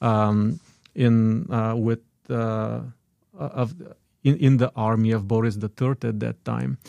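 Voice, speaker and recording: In a Bulgarian accent, a man speaks at a very slow pace with a medium pitch and a dark, mellow tone. The sound is dry and close with no echo, on a very clean recording with a silent background. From Bulgaria (Dobrich, northeast). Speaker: immigrant sharing life story. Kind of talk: radio interview. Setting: studio.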